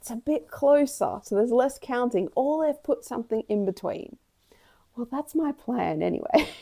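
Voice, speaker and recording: A woman's high pitch swings very widely at a moderate pace. Her tone is dark and mellow, in a dry, close sound with no echo. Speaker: cross-stitch YouTuber. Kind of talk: casual vlog chat.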